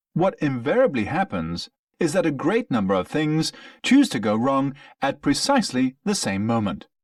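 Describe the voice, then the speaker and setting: A man with a British accent at a fairly high pitch and moderate pace, very wide pitch swings, a dry, close sound with no echo, and a very clean recording with a silent background. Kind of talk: textbook listening passage reading. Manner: clear, measured.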